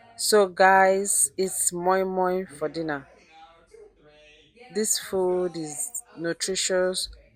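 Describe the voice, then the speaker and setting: Over noticeable background noise, a woman speaks very slowly with long, frequent pauses. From Nigeria. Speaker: lifestyle vlogger. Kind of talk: casual vlog narration.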